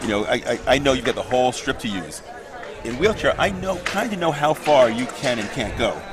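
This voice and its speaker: With crowd noise in the background, a man at a medium pitch talks fairly quickly, his pitch swinging very widely. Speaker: wheelchair fencing commentator, former fencer. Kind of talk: live sports commentary. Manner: fast.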